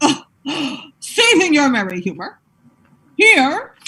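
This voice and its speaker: A woman's put-on character voice, high-pitched, with very wide pitch swings and a fairly slow pace. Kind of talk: Shakespearean stage verse. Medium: stage play.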